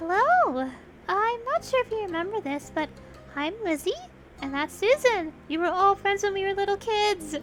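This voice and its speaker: Over clearly audible background music, a woman uses a squeaky, extremely high put-on character voice at a moderate pace. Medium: virtual streamer. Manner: energetic, eager.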